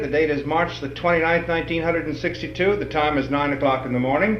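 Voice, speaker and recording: Fairly high pitch from a man, set against noticeable background noise. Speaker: radio personality. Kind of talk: interview questions.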